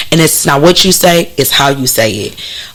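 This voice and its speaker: Lively intonation marks this woman's speech at a moderate pace. Noticeable background noise can be heard. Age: 30s. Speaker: actress, poet and teacher. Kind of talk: casual interview chat.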